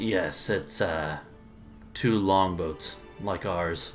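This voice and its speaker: A man speaks in a put-on character voice at a very slow pace. Clear music plays in the background. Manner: low, hushed, not wanting to draw attention.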